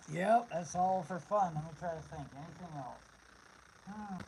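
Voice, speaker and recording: A man speaks fairly slowly at a high pitch, his pitch varying in an ordinary way while noticeable background noise continues. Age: 50s. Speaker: homeless camper livestreamer. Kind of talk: casual livestream chat. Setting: live stream. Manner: halting.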